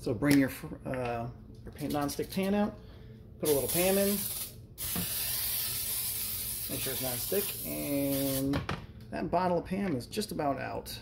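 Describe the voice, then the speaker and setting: Long, frequent pauses from a man at a moderate pace, with noticeable background noise. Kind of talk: tutorial. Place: kitchen. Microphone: phone near.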